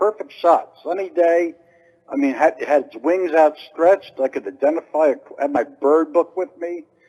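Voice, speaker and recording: High in pitch, a man speaks with an American accent. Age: 60s. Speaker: caller. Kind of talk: casual chat.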